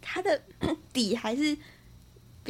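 A woman speaking at a fairly slow pace. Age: 20s. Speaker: spiritual teacher. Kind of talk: casual chat.

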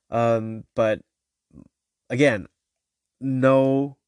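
A man is speaking. His intonation is fairly even. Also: dry, close sound with no echo. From China. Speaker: podcast host. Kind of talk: solo podcast, casual personal monologue. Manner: hesitant, many filler words.

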